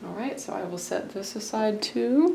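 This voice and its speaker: Fairly slow speech amid audible room echo and noticeable background noise. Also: woman. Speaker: sewing tutorial creator. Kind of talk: tutorial. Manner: casual.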